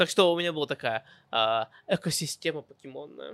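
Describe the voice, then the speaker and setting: An English accent at a moderate pace, with a dry, close sound with no echo on a very clean recording with a silent background. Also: man. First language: English (speaking Russian). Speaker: podcast host. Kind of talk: personal storytelling monologue. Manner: halting, self-correcting.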